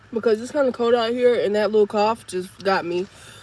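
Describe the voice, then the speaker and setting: A woman with a fairly high pitch talks at a moderate pace, noticeable background noise behind her. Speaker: psychic medium doing tarot readings. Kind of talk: live collective tarot reading. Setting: outdoors in cold air. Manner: casual, conversational.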